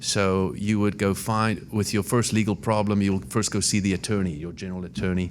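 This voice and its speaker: Speaking fairly quickly in a South African accent, a man with a very deep, low pitch uses ordinary pitch variation. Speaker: immigration lawyer. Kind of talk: podcast interview. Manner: hesitant, many fillers.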